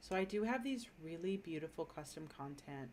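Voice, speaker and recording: Here a woman speaks with an American accent. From Minnesota, US. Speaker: gaming streamer. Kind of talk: casual live-stream commentary. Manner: casual, thinking aloud with fillers.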